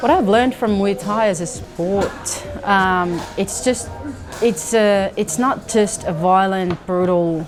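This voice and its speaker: Music plays behind a woman with a Finnish accent who talks very slowly at a medium pitch with ordinary pitch variation. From Finland. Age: 30s. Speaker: Muay Thai fighter. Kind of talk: interview answer.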